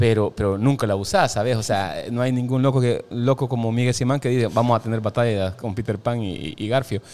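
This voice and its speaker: A man speaks at a fairly quick pace with hardly any pauses, in a normal speaking voice. His pitch is medium, with ordinary pitch variation. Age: 40s. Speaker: stage actor. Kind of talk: casual chat.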